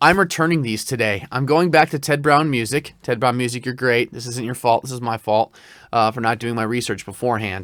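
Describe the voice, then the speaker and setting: The sound is dry and close with no echo as a man speaks with ordinary pitch variation. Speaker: voice actor. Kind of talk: product review. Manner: conversational.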